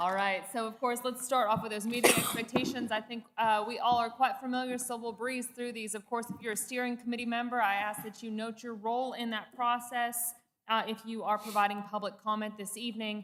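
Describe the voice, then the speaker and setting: The speaker goes at a fairly quick pace with hardly any pauses and a monotone, flat intonation. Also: woman, fairly high pitch for a woman. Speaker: city planning director. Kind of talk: staff presentation. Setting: public meeting with microphones.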